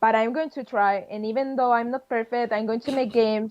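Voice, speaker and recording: A woman with a Spanish accent speaks at a fairly high pitch. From Spain, Madrid. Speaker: game designer. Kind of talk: interview.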